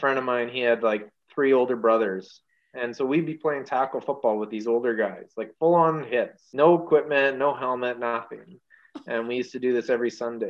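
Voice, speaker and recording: A man with a plain, everyday voice speaks in a Canadian accent at medium pitch. His pace is fairly quick and his intonation fairly even. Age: 40s. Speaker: firefighter. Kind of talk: casual chat.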